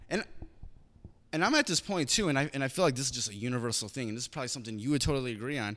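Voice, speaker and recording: On a very clean recording with a silent background, a man with an American accent talks at a very fast pace with lively intonation. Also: medium pitch for a man. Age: 30s. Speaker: podcast host. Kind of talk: casual interview.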